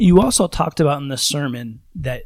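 A man talks in an ordinary speaking voice. His pace is moderate and his pitch varies in an ordinary way. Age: 30s. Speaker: podcast host. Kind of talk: casual chat.

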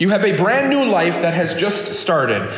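Talking at a moderate pace, a man swings his pitch very widely, with audible room echo and noticeable background noise around him. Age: 30s. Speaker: pastor. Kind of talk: sermon.

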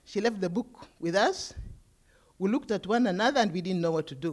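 With a non-native accent, a woman speaks at medium pitch and a fairly quick pace, her intonation lively. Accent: foreign. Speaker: nun. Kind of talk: testimony.

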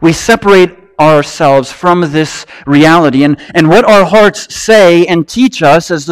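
With lively intonation, a man with an American accent speaks in a high voice. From Wisconsin, US Upper Midwest. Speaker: pastor. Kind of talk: sermon. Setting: church.

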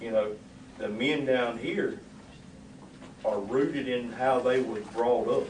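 A man with a Southern US accent at medium pitch, ordinary pitch variation, and long, frequent pauses, amid noticeable background noise and audible room echo. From US South. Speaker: class member. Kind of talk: casual chat. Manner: soft-spoken.

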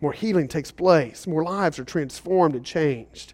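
Against a quiet background, a man talks at a moderate pace with ordinary pitch variation, an unremarkable speaking voice. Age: 40s. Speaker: pastor. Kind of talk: sermon. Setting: church service in a school.

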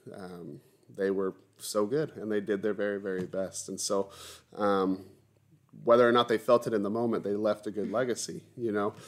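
In a very clean recording with a silent background, a man talks at a moderate pace in a fairly low pitch with fairly even intonation. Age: 30s. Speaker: pastor leading Bible study. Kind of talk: Bible study teaching. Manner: hesitant, many filler words.

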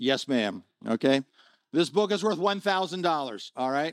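A man's high, animated voice, lively in intonation at a moderate pace, on a very clean recording against a silent background. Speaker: guest preacher. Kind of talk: sermon. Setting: church.

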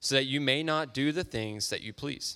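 A man with a bright, sharp tone, medium pitch and ordinary pitch variation at a moderate pace on a very clean recording with a silent background. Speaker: scripture reader. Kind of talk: reading aloud. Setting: church.

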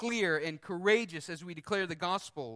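Here a man with a high pitch and a bright, sharp tone speaks at a moderate pace. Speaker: preacher. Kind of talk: sermon; fervent prayer. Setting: church. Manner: earnest, pleading, heartfelt.

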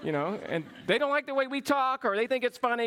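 Speaking with an American accent, a man uses an extremely high pitch, a bright, sharp tone and lively intonation, recorded with a dry, close sound and no echo. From US South, Georgia (small town). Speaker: pastor. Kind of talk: sermon. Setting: church.

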